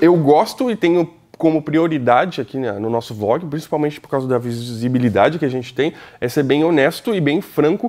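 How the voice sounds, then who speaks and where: A man speaks at a moderate pace with a fairly high pitch. His pitch variation is ordinary, and the background is quiet. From Brazil. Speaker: drone YouTuber. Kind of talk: vlog review. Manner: casual, animated. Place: studio. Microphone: lapel.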